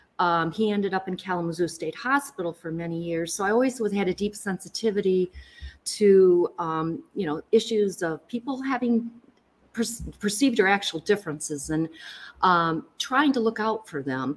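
Speaking with a Michigan accent, a woman keeps a medium pitch and a moderate pace. Her intonation is lively. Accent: Michigan, general American. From Lansing, Michigan. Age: 60s. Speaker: county prosecutor. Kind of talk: casual interview.

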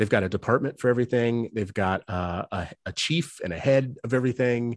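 A man talks in a normal speaking voice at medium pitch and a moderate pace, with ordinary pitch variation. The sound is dry and close with no echo, over a quiet background. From US South, New Orleans. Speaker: education nonprofit executive. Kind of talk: interview.

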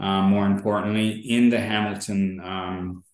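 In an Ontario accent, the speaker talks very slowly with monotone, flat intonation. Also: man. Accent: Canadian (Ontario). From York Region, Ontario, Canada. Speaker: podcast host and real estate investor. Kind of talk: casual interview chat.

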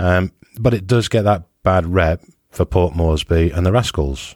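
A man speaks with ordinary pitch variation. The recording is very clean with a silent background, and the sound is dry and close with no echo. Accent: British. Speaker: scuba diving podcast host. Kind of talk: casual interview chat.

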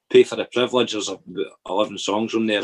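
Talking at a very fast pace, a man with a Dundee accent is captured in a dry, close sound with no echo. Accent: Scottish (Dundee area). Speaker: musician. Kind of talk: casual chat. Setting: video call.

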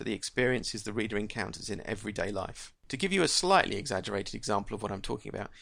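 The recording is of reading aloud in a natural voice.

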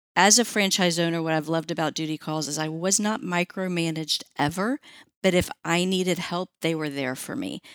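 A normal speaking voice from a woman, fairly low in pitch, at a moderate pace, in a very clean, dry, close recording with a silent background and no echo. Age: 50s. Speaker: pet waste removal franchisee. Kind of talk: interview. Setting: studio.

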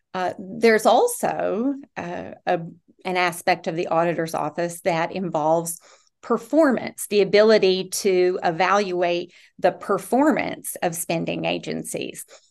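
Medium pitch and vocal fry from a woman at a fairly slow pace, with ordinary pitch variation and a quiet background. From eastern Kentucky, Rowan County. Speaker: political candidate, tax attorney. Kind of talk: interview. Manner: halting, many restarts and fillers.

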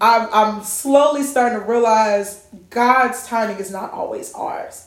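Against noticeable background noise, a woman speaks at a fairly slow pace in a fairly high pitch with fairly even intonation. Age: 20s. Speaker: podcast host. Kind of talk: casual chat.

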